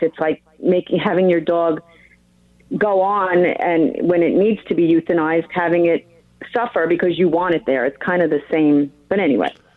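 At a moderate pace, a woman with a New York accent speaks at a fairly low pitch with fairly even intonation. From New York (Long Island). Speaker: caller. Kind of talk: call-in radio conversation. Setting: phone call.

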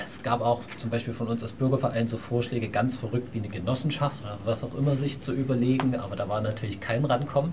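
Noticeable background noise sits behind a man speaking at a medium pitch with ordinary pitch variation. He barely pauses, and his loudness swings widely. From Saxony, Dresden. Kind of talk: panel talk.

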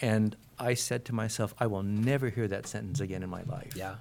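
A man speaks at a moderate pace in a fairly low pitch with ordinary pitch variation, in an ordinary speaking voice. The recording is very clean, with a silent background. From Portland, Oregon, US. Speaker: comic book artist and writer. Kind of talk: live interview. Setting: comic convention panel room.

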